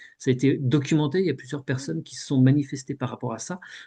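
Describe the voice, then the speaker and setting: The man's tone is dark and mellow, with a fairly high pitch and ordinary pitch variation. He talks at a fairly quick pace. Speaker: hypnosis session guide. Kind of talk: group discussion. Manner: halting.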